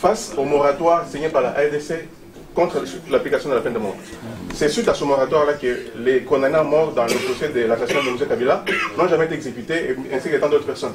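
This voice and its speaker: This man talks at a very fast pace in a fairly high pitch, with noticeable background noise behind him. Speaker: party member at association launch. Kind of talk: public meeting speech. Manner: halting, many fillers.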